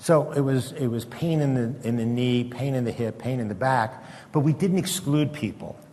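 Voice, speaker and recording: Audible room echo surrounds a man with a dark, mellow, somewhat breathy tone. He speaks at a medium pitch and moderate pace with ordinary pitch variation. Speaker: retired psychiatrist giving a talk. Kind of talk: lecture. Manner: halting.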